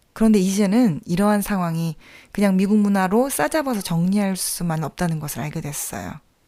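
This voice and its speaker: A woman with an unremarkable speaking voice talks at medium pitch, fairly quickly, with lively intonation. The recording is very clean, with a silent background. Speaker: podcast host. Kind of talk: reflective podcast monologue.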